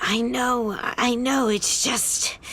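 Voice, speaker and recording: A woman's high-pitched, put-on character voice over clear background noise. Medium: machinima. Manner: anxious, earnest.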